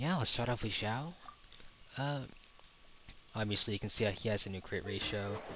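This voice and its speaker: Soft-spoken, a man talks at a fairly low pitch and a moderate pace with ordinary pitch variation. Long, frequent pauses break up his speech. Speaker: gaming youtuber. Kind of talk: game commentary. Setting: home recording at night. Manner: quiet to avoid waking others.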